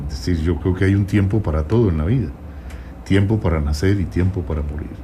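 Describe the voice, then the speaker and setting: A man speaks at a fairly quick pace with a very deep, low pitch and ordinary pitch variation. Room echo is audible, and background noise is noticeable. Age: 70s. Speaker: presidential candidate. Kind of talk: radio interview. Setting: radio studio.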